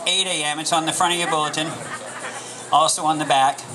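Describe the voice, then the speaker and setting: A man speaks in a raised, projected voice. Noticeable background noise can be heard. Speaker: pastor giving announcements. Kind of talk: church announcements. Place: stage. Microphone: handheld.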